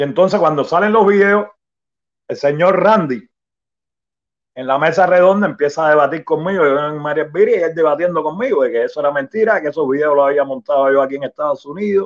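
Spoken at a fairly quick pace with ordinary pitch variation, this is an unremarkable speaking voice. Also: man, fairly high pitch for a man. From Cuba. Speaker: Cuban opposition activist. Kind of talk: testimony.

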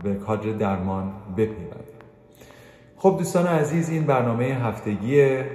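A man talks with lively intonation. The recording has audible room echo and noticeable background noise. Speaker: radio host; anesthesiologist presenting medical news. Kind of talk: weekly health news program. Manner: varied intonation.

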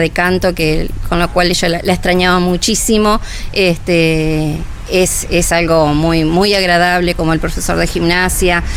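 A woman speaks at a fairly low pitch in a monotone, flat intonation and very even loudness, with audible room echo and noticeable background noise. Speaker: nursing home staff member. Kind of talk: radio interview. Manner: hesitant, many fillers.

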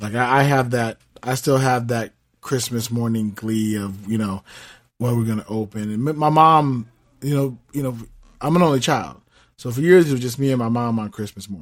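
A man with a plain, everyday voice and an American accent talks at a moderate pace, with a medium pitch and ordinary pitch variation. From Southern California. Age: 50s. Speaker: podcast host. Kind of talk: casual chat.

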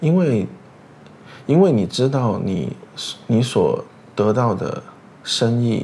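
A man with a medium pitch speaks at a very slow pace, leaving long, frequent pauses. His intonation is lively. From Chengdu, China. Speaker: podcast host. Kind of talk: casual chat.

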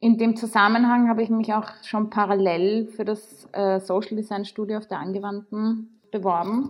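A woman speaks in a fairly high pitch at a moderate pace. Her intonation is monotone and flat. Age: 30s. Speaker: architect and festival curator. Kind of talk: interview conversation.

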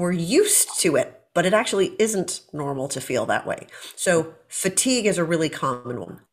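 Lively intonation marks a normal speaking voice at a moderate pace. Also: woman, medium pitch for a woman. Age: 50s. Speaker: medical doctor. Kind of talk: interview.

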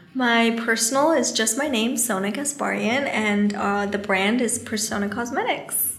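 Through noticeable background noise, a woman speaks at a moderate pace with very even loudness. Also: ordinary pitch variation, hardly any pauses. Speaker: beauty influencer and brand owner. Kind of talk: casual podcast interview.

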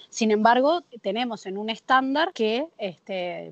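Using an unremarkable speaking voice, a woman speaks at a fairly high pitch with lively intonation. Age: 30s. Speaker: prison program coordinator and newspaper editor. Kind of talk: interview.

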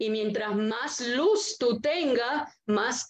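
A woman's high-pitched voice at a very slow pace. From Puerto Rico, Arecibo. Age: 70s. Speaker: yoga teacher. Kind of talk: casual interview.

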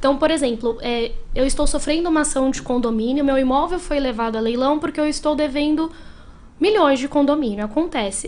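A woman with a high pitch talks at a fairly quick pace, her pitch varying in an ordinary way. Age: 30s. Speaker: lawyer. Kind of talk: interview.

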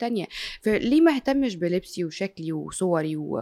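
There is noticeable background noise. A woman speaks with very wide pitch swings. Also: dry, close sound with no echo. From Egypt. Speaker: sports radio and TV presenter. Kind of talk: casual interview chat.

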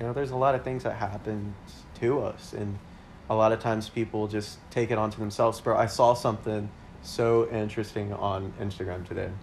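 This man talks at a fairly quick pace with an American accent and a fairly low pitch. His voice is somewhat breathy, and his intonation stays monotone and flat. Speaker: podcast co-host, radiology scheduler. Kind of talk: casual chat.

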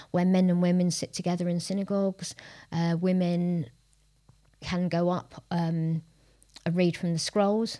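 In a London accent, a woman speaks with a fairly low pitch and a dark, mellow tone. Her intonation is monotone and flat, and the recording is very clean with a silent background. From North London. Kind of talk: casual discussion.

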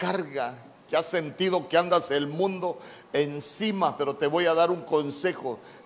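Speaking at a fairly slow pace, a man with a high pitch is heard over noticeable background noise. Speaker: pastor. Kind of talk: sermon. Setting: church. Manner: animated.

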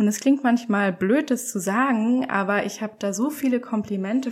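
At a moderate pace, a woman speaks in an ordinary speaking voice with a fairly high pitch and fairly even intonation. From eastern Germany, Leipzig. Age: 20s. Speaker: photographer. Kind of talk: podcast interview.

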